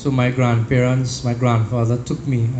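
The recording has audible room echo and noticeable background noise. A man speaks at a moderate pace. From Trinidad. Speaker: devotee. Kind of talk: personal testimony.

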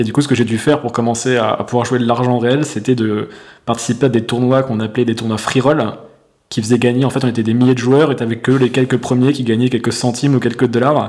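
Talking very fast, a man keeps a monotone, flat intonation at a medium pitch. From France. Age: 30s. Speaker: entrepreneur and coach. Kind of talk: casual interview. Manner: halting, many fillers.

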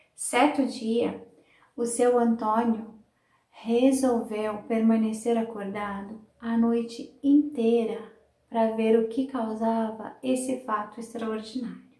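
A woman with a fairly high pitch speaks very slowly in a dark, mellow tone. Her intonation stays flat and monotone, and the room echo is audible. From Brazil, São Paulo state (Sumaré). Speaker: storyteller and teacher. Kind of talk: interview; storytelling.

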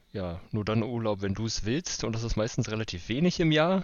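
With a normal speaking voice, a man speaks at a moderate pace with fairly low pitch and ordinary pitch variation. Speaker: podcast co-host. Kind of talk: casual chat. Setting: remote recording on holiday. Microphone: worse recording quality while on holiday.

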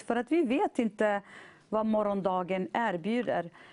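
A woman speaks at a fairly slow pace in a dark, mellow tone, with a quiet background and a dry, close sound with no echo. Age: 40s. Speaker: churchgoer giving testimony. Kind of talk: testimony; exhortation.

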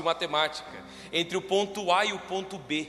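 A high-pitched man speaks in a raised, projected voice. Noticeable background noise runs behind him. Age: 20s. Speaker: pastor. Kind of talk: sermon. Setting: church.

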